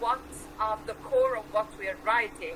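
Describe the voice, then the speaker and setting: A woman speaks in a high pitch with ordinary pitch variation. Noticeable background noise runs underneath. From Switzerland. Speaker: poetry show host. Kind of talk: interview.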